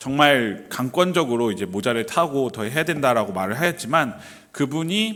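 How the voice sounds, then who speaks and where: A man talks at a middling speed in a mid-range voice. His pitch jumps very widely. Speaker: pastor. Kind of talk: sermon. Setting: church. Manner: hesitant, many fillers.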